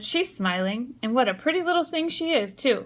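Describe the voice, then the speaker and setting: In a put-on character voice, a female-sounding speaker talks shakily at a high pitch and a moderate pace. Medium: read story. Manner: quivery.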